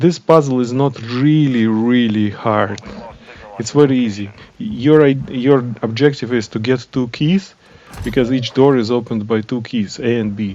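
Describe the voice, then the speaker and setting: A man at a moderate pace with a non-native accent, medium pitch and ordinary pitch variation, amid noticeable background noise. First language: not English. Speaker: gaming channel creator. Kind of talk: game guide voiceover. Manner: hesitant, many fillers.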